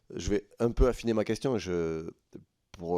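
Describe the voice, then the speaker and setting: With a southern French accent, a man speaks in a dark, mellow tone with ordinary pitch variation, dry and close with no echo on a very clean recording against a silent background. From southern France, Tarn. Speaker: member of parliament. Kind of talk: parliamentary hearing questioning.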